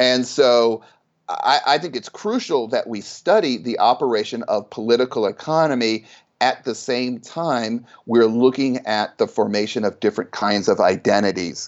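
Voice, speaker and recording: Moderate pace, medium male pitch and ordinary pitch variation from a man with an ordinary speaking voice. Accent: American. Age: 50s. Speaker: sociology professor. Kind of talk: interview.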